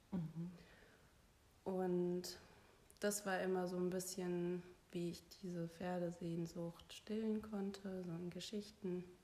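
The tone is dark and mellow, delivered in a flat monotone. The pace is very slow, with long, frequent pauses. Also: woman, medium pitch for a woman. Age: 30s. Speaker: podcast guest sharing personal story. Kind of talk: personal testimony interview.

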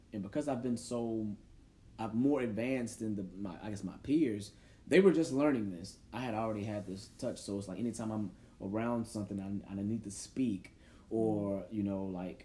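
Here a man speaks with a dark, mellow tone at a fairly low pitch. His pace is moderate, with ordinary pitch variation. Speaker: podcast host; teacher. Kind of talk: casual chat.

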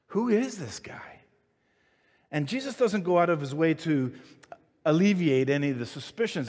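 On a very clean recording with a silent background, a man's intonation rises and falls in a lively way. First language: not English. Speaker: pastor. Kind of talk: sermon. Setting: church with congregation. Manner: stuttering at times.

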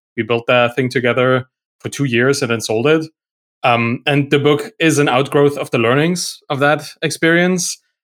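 A man with a German accent speaks at a moderate pace and a fairly high pitch. The sound is dry and close with no echo, and his pitch varies in an ordinary way. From Germany. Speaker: software entrepreneur and writer. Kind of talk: podcast interview. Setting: remote call.

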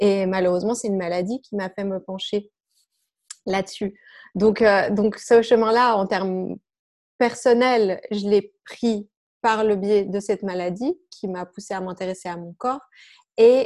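A woman speaks at a fairly slow pace and medium pitch, with long, frequent pauses and fairly even intonation. Her loudness swings widely on a very clean recording with a silent background. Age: 40s. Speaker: health coach and yoga teacher. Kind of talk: interview.

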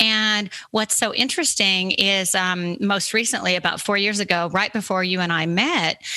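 A woman speaks at a moderate pace in an ordinary speaking voice, her intonation fairly even. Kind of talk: casual chat.

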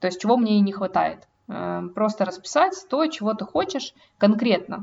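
Somewhat breathy and fairly high, a woman's voice moves at a fairly quick pace. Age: 20s. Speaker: podcast co-host. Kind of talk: casual chat.

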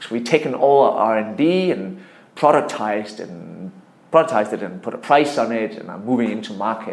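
A man with a Danish accent, medium-pitched, at a moderate pace, with lively intonation and audible room echo. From Denmark. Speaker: tech entrepreneur. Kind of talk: interview.

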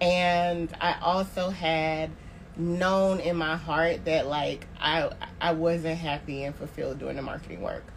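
Speaking with an American accent, a woman keeps a fairly low pitch and fairly even intonation. She talks at a fairly slow pace, and the room echo is audible. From Tallahassee, Florida. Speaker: marketing consultant on sabbatical. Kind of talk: casual chat.

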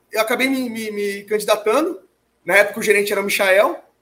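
A man talks at a very fast pace in a high voice with a bright, sharp tone. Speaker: lab owner and mass spectrometry specialist. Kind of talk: casual interview.

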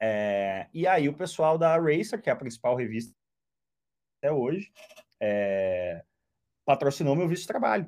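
Speaking at a fairly slow pace with long, frequent pauses, a man uses a fairly high pitch that swings very widely. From southern Brazil, Porto Alegre. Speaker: motoring journalist and racing driver. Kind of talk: casual chat.

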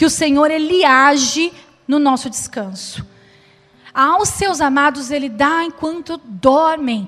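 A woman with a high pitch speaks at a fairly slow pace with lively intonation. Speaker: preacher. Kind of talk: sermon. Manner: earnest, preacherly and reflective, with a steady pace and exhortation.

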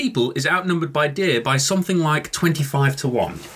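Noticeable background noise behind a fairly quick delivery. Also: man. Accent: British. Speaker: whisky podcast host. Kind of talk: casual chat.

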